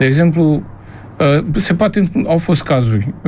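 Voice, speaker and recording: There is noticeable background noise as a man speaks at a moderate pace. His intonation is lively. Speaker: priest and radio host. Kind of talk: radio call-in show hosting. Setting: radio studio.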